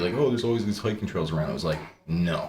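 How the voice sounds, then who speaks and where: A man talks with a slight Canadian accent. Audible room echo and noticeable background noise fill the recording. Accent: slight mainland Canadian. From Newfoundland, St. John's (moved from Ontario at five). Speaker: musician. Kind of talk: interview.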